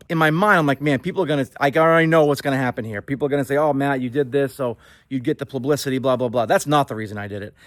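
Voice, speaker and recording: Fairly high-pitched, a man with an American accent talks with hardly any pauses and ordinary pitch variation. The recording is very clean with a silent background and has a dry, close sound with no echo. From Boston area, Massachusetts. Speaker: Christmas tree farmer. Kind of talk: casual vlog monologue. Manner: casual, many filler ums.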